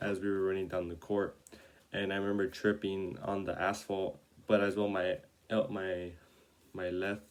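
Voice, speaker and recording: This man talks at a moderate pace in an American accent. His very deep, low voice stays monotone and flat. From Oxnard, California. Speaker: college student. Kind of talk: class introduction video. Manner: halting, many fillers.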